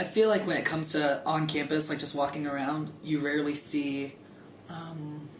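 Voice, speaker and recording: With audible room echo and noticeable background noise, a man speaks in a fairly high voice with fairly even intonation. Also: moderate pace. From Greensburg. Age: young. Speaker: college student. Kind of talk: interview.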